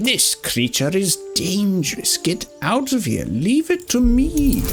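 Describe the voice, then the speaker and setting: Over clear background music, a man puts on a character voice pitched high for a man and speaks at a fairly slow pace. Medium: game stream. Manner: theatrical.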